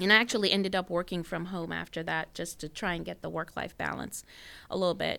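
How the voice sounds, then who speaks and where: A woman speaks at a very fast pace with vocal fry and a bright, sharp tone, her pitch fairly low, on a very clean recording with a silent background. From Jamaica. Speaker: engineer and business founder. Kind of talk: interview. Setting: radio station studio.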